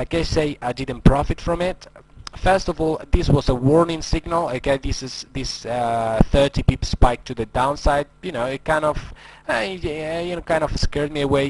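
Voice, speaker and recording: With a non-native accent, a man speaks at a moderate pace and a fairly high pitch, his pitch varying in an ordinary way while his loudness swings widely. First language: not English. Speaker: forex trading educator. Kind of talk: screen-recorded trading tutorial. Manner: hesitant, many fillers.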